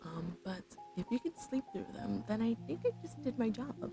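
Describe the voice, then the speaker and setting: Over music in the background, a soft-spoken woman talks at a moderate pace in a relaxed tone. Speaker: vtuber streamer. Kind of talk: casual livestream chat with viewers, ASMR stream. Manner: soft-spoken, relaxed.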